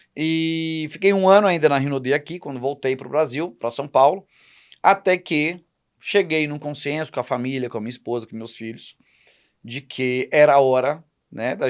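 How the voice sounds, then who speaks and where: A normal speaking voice moves at a moderate pace with ordinary pitch variation and big swings in loudness. The recording is very clean, with a silent background. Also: man. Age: 40s. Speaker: entrepreneur and public speaking school owner. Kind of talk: podcast interview.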